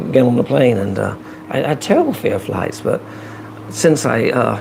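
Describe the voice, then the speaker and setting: A man with an American accent at a moderate pace, against noticeable background noise. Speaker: vlogger. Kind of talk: casual chat. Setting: live stream.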